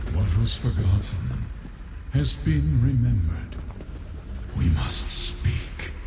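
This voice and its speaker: A man in a put-on character voice at a very slow pace, with loud background noise. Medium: machinima. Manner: solemn, measured.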